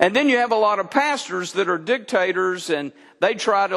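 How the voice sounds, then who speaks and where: With an American accent, a man speaks in a high pitch with a bright, sharp tone and lively intonation. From Texas. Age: 60s. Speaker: pastor. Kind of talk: sermon. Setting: church.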